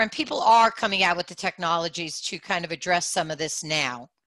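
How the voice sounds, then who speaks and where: In a New York accent, a woman with a fairly low pitch talks at a fairly quick pace in a bright, sharp tone, her loudness swinging widely and her pitch varying in an ordinary way, on a very clean, dry, close recording with no echo and a silent background. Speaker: audio branding company CEO. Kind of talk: panel discussion.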